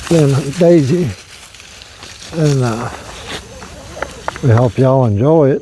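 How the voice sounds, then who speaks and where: A man with a relaxed tone and fairly high pitch talks at a very slow pace with ordinary pitch variation. Noticeable background noise sits behind him. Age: 60s. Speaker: camping vlogger. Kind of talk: casual vlog talk. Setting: outdoors. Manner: relaxed, hesitant with fillers.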